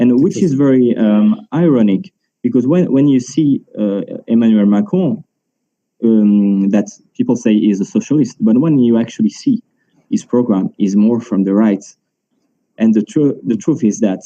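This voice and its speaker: A man with a French accent speaks at a moderate pace and medium pitch, in a dark, mellow tone. His intonation is lively while his loudness stays very even. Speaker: market analyst. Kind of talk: panel discussion. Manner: halting, many fillers and repetitions.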